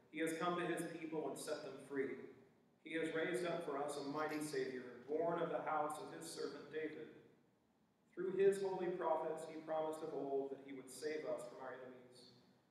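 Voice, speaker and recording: A man speaks in a fairly high voice with fairly even intonation. There is strong room echo. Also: moderate pace. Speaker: scripture reader and worship participant. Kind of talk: scripture reading. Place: church.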